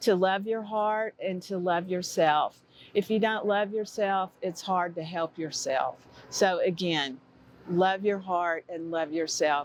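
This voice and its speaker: This is an ordinary speaking voice from a woman at medium pitch. She speaks at a fairly slow pace with ordinary pitch variation. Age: 60s. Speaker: heart disease survivor. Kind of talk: testimony.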